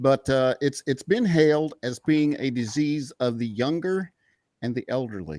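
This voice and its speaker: At a fairly slow pace, a man with a normal speaking voice talks at a medium pitch with ordinary pitch variation, in a dry, close sound with no echo on a very clean recording with a silent background. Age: 60s. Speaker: political podcast panelist. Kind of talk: casual chat.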